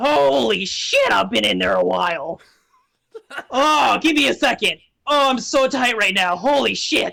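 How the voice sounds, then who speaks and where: This put-on character voice sits fairly high in pitch and moves at a moderate pace. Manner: crude, stretching, relieved.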